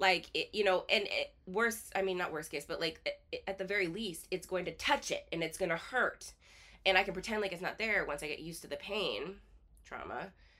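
A woman talks at a fairly quick pace with music in the background. Her pitch sits in the medium range and rises and falls in an ordinary way. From southern Alaska, small town. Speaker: podcast host, life coach. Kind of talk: casual chat.

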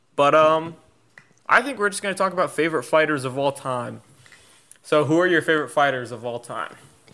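This man has a fairly high pitch and a bright, sharp tone, with ordinary pitch variation. He talks at a fairly quick pace with big swings in loudness and long, frequent pauses. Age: 20s. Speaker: trading podcast co-host. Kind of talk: casual chat.

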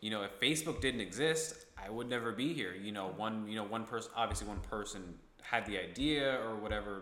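Audible room echo surrounds a man with a fairly low pitch who talks at a fairly quick pace with ordinary pitch variation. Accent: American. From upstate New York (Ithaca). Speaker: podcast host. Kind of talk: casual chat.

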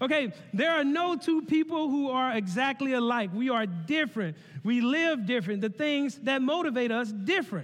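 A man with a Southern US accent speaks at an extremely high pitch and a moderate pace. His tone is animated and his intonation lively. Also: very even loudness. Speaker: connection pastor. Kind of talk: sermon. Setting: church.

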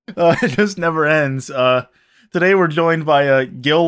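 In a very clean recording with a silent background, a plain, everyday voice moves at a fairly slow pace with ordinary pitch variation. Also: man. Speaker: podcast host. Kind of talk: casual chat.

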